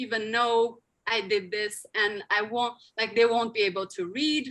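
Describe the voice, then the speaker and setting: A woman's fairly high voice, bright and sharp in tone, with ordinary pitch variation at a fairly slow pace, on a very clean recording with a silent background. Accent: Sichuan. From Tibetan community in China. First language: rGyalrong Khroskyabs. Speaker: linguist and endangered language advocate. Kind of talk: conference lecture.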